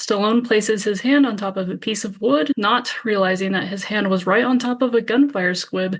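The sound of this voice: An unforced reading voice and its ordinary pitch variation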